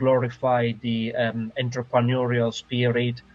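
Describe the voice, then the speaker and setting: A man with an Italian accent talks at a fairly slow pace and a medium pitch. Music plays in the background. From Italy. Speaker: sales professional. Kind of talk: interview. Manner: halting, many fillers.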